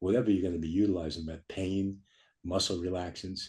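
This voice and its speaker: A man talks at a fairly quick pace in a very deep, low pitch, his somewhat breathy voice dark and mellow with fairly even intonation. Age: 70s. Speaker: chiropractor. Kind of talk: interview. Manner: halting.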